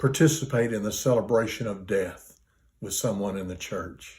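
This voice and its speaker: Somewhat breathy and dark, mellow in tone, a man's medium-pitched voice moves at a fairly slow pace with ordinary pitch variation. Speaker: retired pastor. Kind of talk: interview answer.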